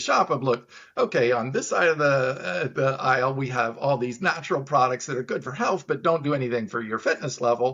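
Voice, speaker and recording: Here a man speaks at a fairly quick pace. His pitch sits in the medium range and varies in an ordinary way. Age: 60s. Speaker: plant-based supplement business owner. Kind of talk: interview. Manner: animated.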